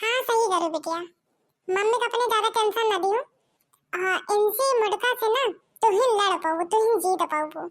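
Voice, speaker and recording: A female-sounding cartoonish character voice at an extremely high pitch. Long pauses break it up often. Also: moderate pace. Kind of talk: cartoon comedy acting. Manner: motherly, sympathetic.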